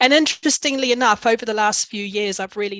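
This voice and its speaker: A woman speaks with a New Zealand accent. The sound is dry and close, with no echo. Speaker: executive coach. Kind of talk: webinar presentation.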